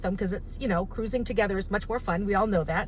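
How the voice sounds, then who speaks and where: Noticeable background noise sits behind a woman speaking in an animated tone. She talks at a very fast pace. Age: 60s. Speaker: travel advisor. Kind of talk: promotional talk to camera.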